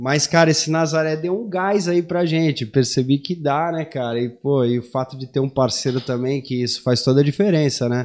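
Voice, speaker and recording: This man's voice is fairly high, with ordinary pitch variation, and the background is quiet. He talks at a moderate pace with hardly any pauses. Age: 40s. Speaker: big-wave foil surfer; podcast guest. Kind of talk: casual chat. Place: studio. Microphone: studio mic.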